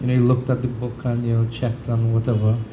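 Noticeable background noise and an audible room echo accompany a man's speech. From Trinidad. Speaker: devotee. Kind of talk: personal testimony.

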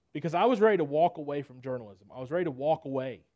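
Talking very fast in a Southern US accent, a man uses a fairly high pitch. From Nashville, Tennessee. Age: 20s. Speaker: preacher. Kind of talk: sermon.

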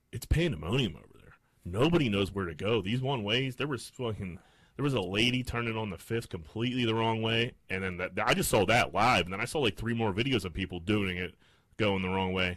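This man has an unremarkable speaking voice, fairly low and fairly quick. His pitch varies in an ordinary way, and his loudness swings widely. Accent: American. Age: 30s. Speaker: podcast co-host. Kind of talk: casual chat.

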